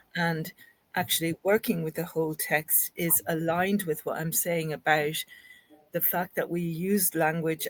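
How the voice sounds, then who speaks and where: A woman with an Irish accent speaks in a fairly low pitch. Her pace is moderate, and the sound is dry and close with no echo. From Ireland. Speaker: linguistics academic. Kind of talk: interview discussion. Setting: podcast recording.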